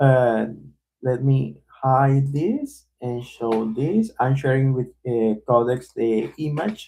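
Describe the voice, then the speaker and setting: A man with a dark, mellow tone and a medium pitch speaks at a very slow pace with ordinary pitch variation. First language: not English. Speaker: developer live streamer. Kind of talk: live coding stream. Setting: live stream. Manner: halting.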